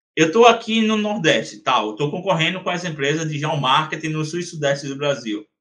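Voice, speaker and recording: The speech moves at a fairly quick pace with hardly any pauses. Its intonation is lively. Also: man, fairly high pitch for a man. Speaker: geomarketing consultant and entrepreneur. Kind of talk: interview. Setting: podcast. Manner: animated.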